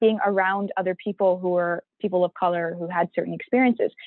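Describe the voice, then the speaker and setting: At a fairly quick pace, a woman with a normal speaking voice and a Canadian accent speaks with ordinary pitch variation. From Vaughan, Ontario, Canada (Pakistani-Canadian community). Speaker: youth research team member. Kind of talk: casual discussion.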